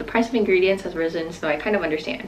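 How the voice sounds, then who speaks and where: A woman is heard over noticeable background noise. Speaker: vlogger. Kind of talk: casual vlog chat. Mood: relaxed, reflective. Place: home room. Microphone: phone near.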